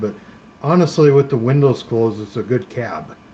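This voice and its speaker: A speaker with an American accent talks at a moderate pace in a relaxed tone with fairly even intonation. Noticeable background noise runs underneath. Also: man. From Minnesota. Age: 50s. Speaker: live streamer. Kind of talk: casual chat. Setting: live stream. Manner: relaxed, chatty.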